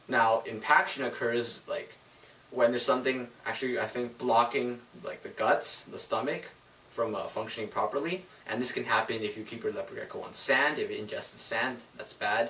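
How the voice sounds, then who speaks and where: A man at a moderate pace with big swings in loudness, plus noticeable background noise. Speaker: reptile keeper sharing care tips. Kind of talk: casual tutorial. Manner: hesitant, stumbling over words; casual, filler-heavy.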